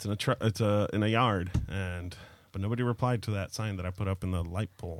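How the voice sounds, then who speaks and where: Against a silent background on a very clean recording, a man with a fairly low pitch speaks at a very fast pace. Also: fairly even intonation. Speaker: podcast host. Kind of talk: casual chat over drinks.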